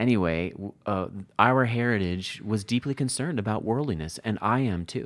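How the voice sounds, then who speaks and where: At a moderate pace, a man uses a normal speaking voice with a fairly low pitch and ordinary pitch variation. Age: 40s. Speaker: Bible editor and author. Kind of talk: interview conversation.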